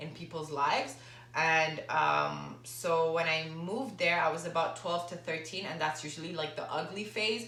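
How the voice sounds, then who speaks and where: Noticeable background noise and audible room echo surround a woman. Her pitch is very deep and low, and her pace is moderate. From Lebanon and Dubai. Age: 20s. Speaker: fitness trainer and vlogger. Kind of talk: casual Q&A vlog. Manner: casual, with fillers.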